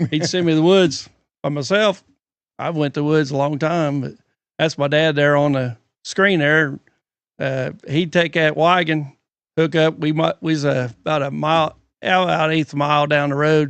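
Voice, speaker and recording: Fairly even in intonation, a man speaks at a moderate pace with fairly high pitch. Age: 60s. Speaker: retired logger and sawmill worker. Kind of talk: casual chat. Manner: halting.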